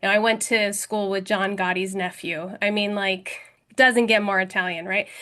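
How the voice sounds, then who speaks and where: A woman with a New Jersey accent speaks at a fairly quick pace in a medium pitch. Her tone is bright and sharp, and the background is quiet. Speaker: podcast host. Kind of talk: panel discussion.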